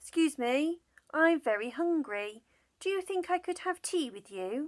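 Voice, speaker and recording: Using a squeaky, put-on character voice, a woman speaks at a high pitch and a moderate pace. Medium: read story. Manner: polite.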